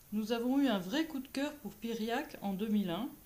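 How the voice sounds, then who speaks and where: Her tone dark and mellow, a woman speaks at a moderate pace in a fairly high pitch with ordinary pitch variation. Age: 50s. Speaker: therapist, municipal election candidate. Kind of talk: campaign self-introduction.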